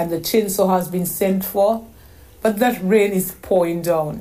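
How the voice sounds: This is a natural reading voice. The speaker reads the text aloud.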